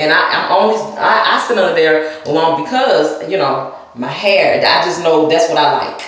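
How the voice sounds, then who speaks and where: A woman with a Southern US accent and a very deep, low pitch talks at a moderate pace with lively intonation amid audible room echo. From US South. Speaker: hair vlogger. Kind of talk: casual vlog demonstration. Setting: at home in front of a mirror. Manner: chatty, rambling.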